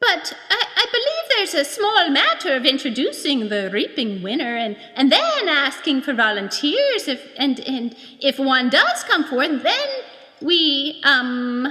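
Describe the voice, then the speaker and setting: A woman puts on a character voice, high in pitch. She speaks at a fairly slow pace. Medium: read story. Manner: perky, gushing.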